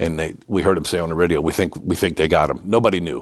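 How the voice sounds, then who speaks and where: Over a quiet background, a man talks with very deep, low pitch and fairly even intonation. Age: 60s. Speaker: volunteer firefighter. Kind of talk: interview testimony. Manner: halting.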